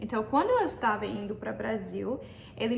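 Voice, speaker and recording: A woman with an American accent, with audible room echo and noticeable background noise. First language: English (speaking Portuguese). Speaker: YouTuber giving language tips. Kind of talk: vlog-style tutorial.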